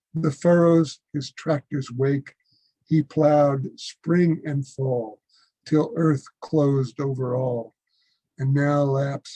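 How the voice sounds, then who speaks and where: At a very slow pace, a man with an American accent speaks in a fairly high, somewhat breathy voice with a dark, mellow tone and fairly even intonation, the sound dry and close with no echo. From United States. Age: 70s. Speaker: poet. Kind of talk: poetry reading.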